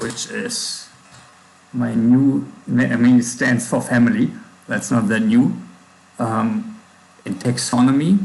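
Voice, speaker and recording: Speaking with a strong German accent, a man goes at a very slow pace with long, frequent pauses. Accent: thick German. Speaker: programmer livestreamer. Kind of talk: coding livestream. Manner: halting, with pauses and fillers.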